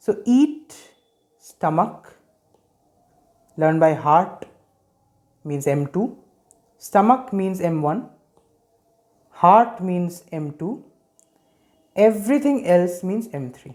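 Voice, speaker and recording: The pace is very slow, with long, frequent pauses. The speaker has an Indian accent. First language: Hindi. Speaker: medical education youtuber. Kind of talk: lecture. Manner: hesitant with fillers.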